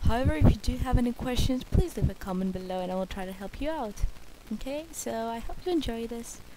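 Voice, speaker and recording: A woman with a non-native accent talks at a very fast pace and a fairly high pitch. Her intonation is lively, and her loudness swings a lot. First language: not English. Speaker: art tutorial creator. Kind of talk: tutorial. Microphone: bad microphone.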